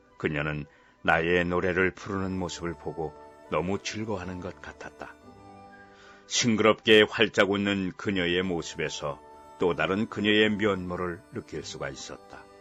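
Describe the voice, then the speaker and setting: A man's very deep, low voice, fairly even in intonation but with big swings in loudness, over music in the background. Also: fairly slow pace. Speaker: audiobook narrator. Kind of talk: short story audiobook reading.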